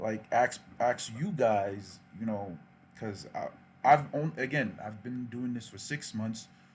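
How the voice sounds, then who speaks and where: Somewhat breathy, a man speaks very slowly at medium pitch with ordinary pitch variation and big swings in loudness. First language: not English. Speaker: youtuber. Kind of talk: livestream chat. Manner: casual.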